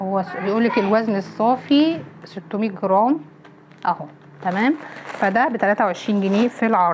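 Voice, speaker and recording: Noticeable background noise sits behind this woman's voice. She speaks at a moderate pace with medium pitch and ordinary pitch variation. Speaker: home vlogger. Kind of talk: shopping haul vlog. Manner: animated.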